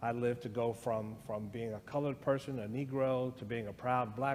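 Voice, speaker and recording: At a fairly quick pace, a man with an American accent speaks at a medium pitch in a room with audible echo. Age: 60s. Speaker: guest speaker on race. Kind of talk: conversation in church service.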